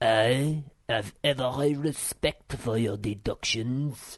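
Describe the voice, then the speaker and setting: Using a put-on character voice, a man speaks at a medium pitch with fairly even intonation and a very slow pace. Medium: read story. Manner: gloomy, pedantic.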